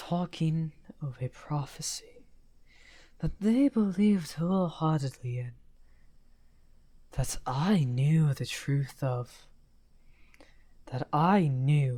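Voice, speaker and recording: This is a put-on character voice at a middle pitch. It moves at a very slow pace with long, frequent pauses. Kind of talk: audio roleplay. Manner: soft-spoken.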